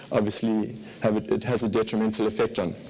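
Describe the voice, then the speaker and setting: Speech at a moderate pace comes through with noticeable background noise behind it. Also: man. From Zimbabwe. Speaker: fund manager. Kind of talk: conference presentation. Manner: hesitant, many fillers.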